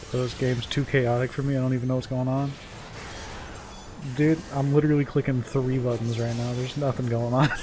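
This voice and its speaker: Over music in the background, a man of medium pitch talks at a fairly quick pace in a flat, monotone intonation, with long, frequent pauses. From United States. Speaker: video game streamer. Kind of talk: casual live-stream chat.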